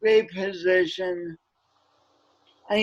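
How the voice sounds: A man with an American accent speaks at a high pitch with little pitch movement. His pace is slow.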